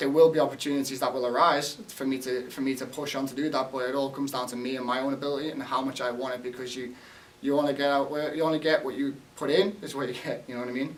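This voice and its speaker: A man speaks very fast in a monotone, flat delivery at a fairly high pitch. There is noticeable background noise. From England, Liverpool. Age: 20s. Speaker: college soccer player. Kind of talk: interview.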